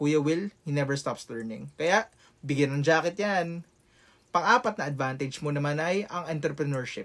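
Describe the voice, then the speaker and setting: A man speaks in an ordinary speaking voice at a fairly high pitch. His pace is moderate and his pitch variation ordinary. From Philippines, Quezon City. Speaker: rapper and content creator. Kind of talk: motivational vlog.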